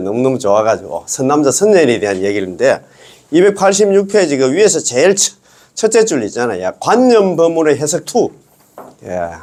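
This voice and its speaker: This man speaks at a fairly quick pace in a fairly high pitch, his voice making very wide pitch swings. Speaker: Buddhist dharma teacher. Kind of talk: lecture. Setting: recorded video lecture. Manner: casual; animated.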